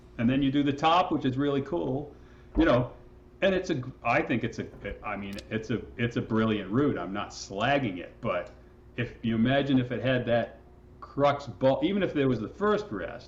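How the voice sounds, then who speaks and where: A man's medium-pitched, somewhat breathy voice in a relaxed tone, at a moderate pace with lively intonation. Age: 60s. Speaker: rock climber and guidebook author. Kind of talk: casual interview conversation. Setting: podcast interview. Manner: relaxed, with many fillers and restarts.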